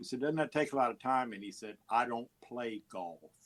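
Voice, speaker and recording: A man with a medium pitch talks fairly quickly, showing ordinary pitch variation. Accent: Texan. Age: 70s. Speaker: musician and radio host. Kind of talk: interview. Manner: halting, many fillers and repeats.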